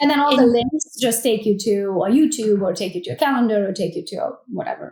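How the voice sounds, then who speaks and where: The speaker, with a Romanian accent, talks very fast in an energetic tone with lively intonation. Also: woman, fairly high pitch for a woman. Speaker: real estate agent and team leader. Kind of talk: podcast interview answer. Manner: blunt, opinionated.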